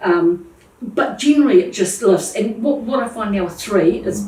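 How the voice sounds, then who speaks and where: With a New Zealand accent, a woman speaks at a moderate pace and medium pitch with lively intonation over noticeable background noise. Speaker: plumbing business owner. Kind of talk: interview answer.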